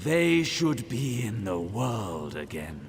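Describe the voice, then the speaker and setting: Putting on a character voice, a man speaks at medium pitch and a very slow pace with very wide pitch swings, over clear background noise. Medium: video game. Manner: aloof, commanding.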